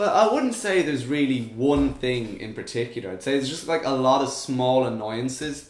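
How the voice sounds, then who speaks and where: Noticeable background noise sits behind a man of medium pitch. He talks at a moderate pace with ordinary pitch variation and hardly any pauses. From Ireland. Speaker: podcast co-host. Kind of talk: casual chat.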